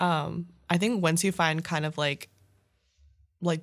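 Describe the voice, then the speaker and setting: A woman speaks with vocal fry and monotone, flat intonation. The recording is very clean with a silent background. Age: 20s. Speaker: student podcast co-host. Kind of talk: casual chat.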